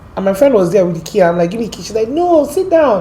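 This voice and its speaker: With an American accent, a woman talks at a very fast pace with very wide pitch swings, audible room echo and noticeable background noise. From Nigeria, Port Harcourt. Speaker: guest telling her life story. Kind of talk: interview, personal testimony. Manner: animated storytelling.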